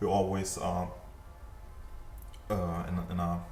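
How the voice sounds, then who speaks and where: With a non-native accent and monotone, flat intonation, a man with a very deep, low pitch speaks at a fairly slow pace amid audible room echo and faint music in the background. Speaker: 3D animation tutor. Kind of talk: tutorial. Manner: halting, many fillers. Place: home room. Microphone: webcam.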